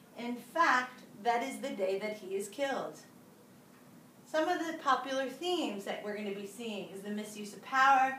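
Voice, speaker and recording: With lively intonation and big swings in loudness, a woman with a high voice talks at a moderate pace amid noticeable background noise and audible room echo. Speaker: teacher. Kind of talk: lecture. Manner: animated.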